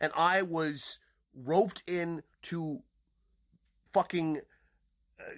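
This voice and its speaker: A man with a high-pitched voice speaks at a very slow pace, with long, frequent pauses. The sound is dry and close, with no echo. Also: ordinary pitch variation, very clean recording, silent background. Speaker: podcaster and online commentator. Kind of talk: angry personal monologue. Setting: social media video. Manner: loud; animated.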